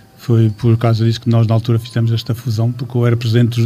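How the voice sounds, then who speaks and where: Speaking very fast, a man uses a medium-pitched voice. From Portugal, Amarante area. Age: 60s. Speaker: football club president. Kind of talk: radio interview. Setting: radio studio. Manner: halting.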